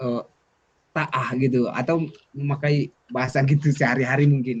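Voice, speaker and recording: A fairly high-pitched, somewhat breathy man's voice with ordinary pitch variation. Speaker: student mentor. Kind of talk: casual chat.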